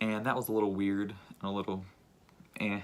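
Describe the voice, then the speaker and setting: A man whispering quietly, with music in the background. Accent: American. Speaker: youtuber. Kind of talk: storytime vlog. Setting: at home with family around. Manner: quiet, near whisper; casual, filler-heavy.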